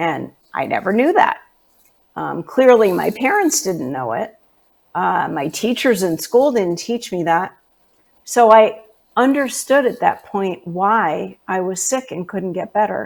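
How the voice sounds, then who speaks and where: Speaking fairly slowly in a New York accent, a woman uses a medium pitch with very wide pitch swings and vocal fry. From New York City (Manhattan). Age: 60s. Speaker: natural health specialist. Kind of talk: interview.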